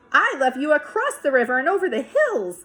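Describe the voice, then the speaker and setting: A woman in a put-on character voice at a fairly quick pace. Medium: read story. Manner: gentle, warm, calm.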